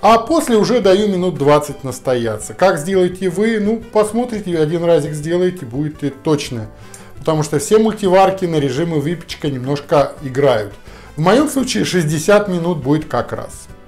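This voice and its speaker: Faint music plays in the background. A man talks over it at a moderate pace. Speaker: home cooking host. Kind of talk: tutorial. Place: kitchen.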